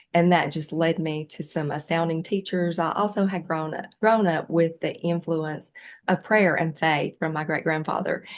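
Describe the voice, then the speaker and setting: A woman with a Southern US accent speaks at a moderate pace, with fairly low pitch and fairly even intonation. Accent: Southern US, noticeable. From US Southeast, rural farm. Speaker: yoga teacher and animal somatic educator. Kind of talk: interview conversation. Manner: halting, many fillers.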